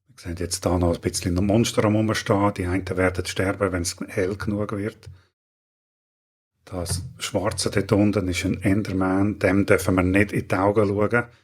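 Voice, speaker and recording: A man's fairly low, flat monotone with a Swiss accent on a very clean recording with a silent background. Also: moderate pace, big swings in loudness. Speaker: gaming tutorial youtuber. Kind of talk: tutorial.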